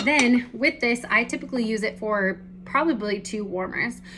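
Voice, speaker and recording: Bright, sharp-toned female voice with ordinary pitch variation. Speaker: direct sales consultant. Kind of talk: product demonstration. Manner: fast; casual.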